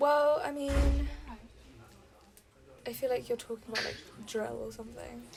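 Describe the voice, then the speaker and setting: A soft-spoken woman at a moderate pace, with long, frequent pauses and big swings in loudness. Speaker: focus group participant. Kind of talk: casual chat.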